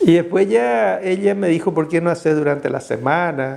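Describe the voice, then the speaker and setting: A man is heard over noticeable background noise. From Paraguay (Caazapá, Villarrica). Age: 60s. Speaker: Jesuit priest. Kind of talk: interview testimony.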